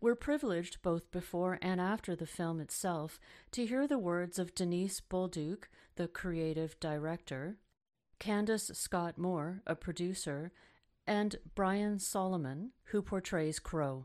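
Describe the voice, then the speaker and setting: Over a silent background in a very clean recording, a woman with an ordinary speaking voice talks at a fairly slow pace, her pitch fairly low with ordinary pitch variation. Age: 50s. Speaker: radio host, arts accessibility consultant. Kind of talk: radio hosting.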